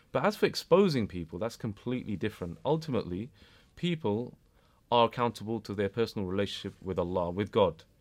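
In a British accent, a man talks at a very fast pace with a fairly low pitch and lively intonation. The recording is very clean and the background silent. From UK. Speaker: educationalist and community activist. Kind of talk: interview.

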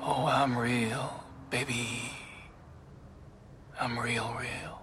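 Over clear background noise, a man uses a raspy, put-on character voice at a medium pitch. He talks at a very slow pace with monotone, flat intonation. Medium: short film. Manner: smooth, easy, teasing.

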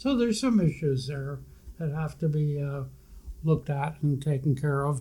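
A somewhat breathy voice with a dark, mellow tone. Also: man, fairly high pitch for a man, ordinary pitch variation, moderate pace. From Maine, Kennebec River area. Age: 80s+. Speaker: retired physician, lighthouse volunteer. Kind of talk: casual interview.

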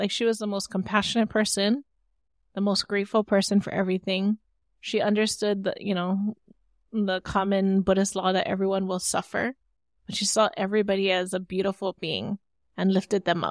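Speaking fairly quickly with a Hawaiian accent, a woman keeps a medium pitch and fairly even intonation. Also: dry, close sound with no echo. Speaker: entrepreneur and cultural practitioner. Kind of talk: interview conversation.

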